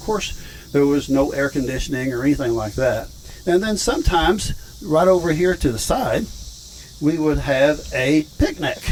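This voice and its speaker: A man with a fairly high pitch speaks at a moderate pace. Noticeable background noise is present. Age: 70s. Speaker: rancher and video host. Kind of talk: casual vlog tour. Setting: outdoors.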